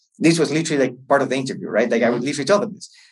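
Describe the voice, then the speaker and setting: A man with a Chilean accent and a fairly high pitch. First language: Spanish. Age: 30s. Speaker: entrepreneur and MBA student. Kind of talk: interview. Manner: halting, with frequent fillers and repetitions.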